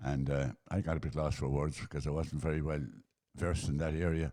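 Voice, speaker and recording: A man with a rural Irish accent, a dark, mellow tone and a very fast pace. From Ireland, County Roscommon. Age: 80s+. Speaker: retired sportsman, interviewee. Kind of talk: casual interview, life story.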